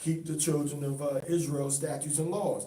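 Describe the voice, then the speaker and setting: A somewhat breathy voice with fairly even intonation carries audible room echo. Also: man. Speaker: religious teacher. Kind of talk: bible study teaching. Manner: fast.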